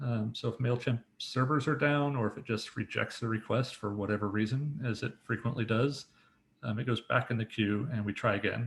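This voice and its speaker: A man's somewhat breathy voice keeps a fairly even intonation. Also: medium pitch for a man, fairly quick pace. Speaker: software developer. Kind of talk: technical presentation. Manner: fast; casual with many fillers.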